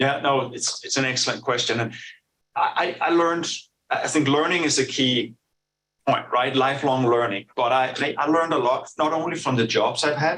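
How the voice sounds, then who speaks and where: Speaking in a Danish accent, a man uses a fairly high pitch, a bright, sharp tone, fairly even intonation, and very even loudness. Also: moderate pace. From Denmark. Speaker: business executive. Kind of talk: interview. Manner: halting, many fillers and repetitions.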